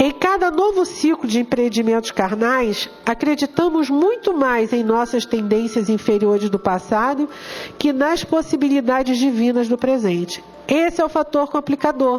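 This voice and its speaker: A woman with an animated tone speaks at a high pitch over noticeable background noise. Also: moderate pace, very even loudness. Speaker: spiritist lecturer. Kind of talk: lecture.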